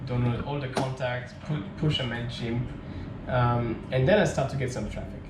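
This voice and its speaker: Amid noticeable background noise and audible room echo, a man with a French accent speaks at a moderate pace with fairly even intonation. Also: medium pitch for a man. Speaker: tech startup founder, vlogger. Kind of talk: casual storytelling vlog. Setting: home at night, alone to camera. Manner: hesitant, many fillers.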